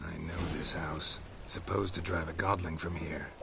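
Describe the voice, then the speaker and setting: A man's put-on character voice, very deep and low, at a moderate pace over clear background noise. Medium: video game. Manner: terse, dry, clipped sentences.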